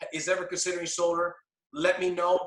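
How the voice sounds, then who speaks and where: A raised, projected male voice, bright and sharp in tone. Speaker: sales team trainer. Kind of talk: sales training call. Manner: animated.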